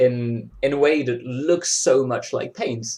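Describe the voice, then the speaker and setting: A man's somewhat breathy, medium-pitched voice with a French accent, ordinary pitch variation and a fairly slow pace. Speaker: digital glitch artist. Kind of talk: casual chat. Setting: video call. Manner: halting.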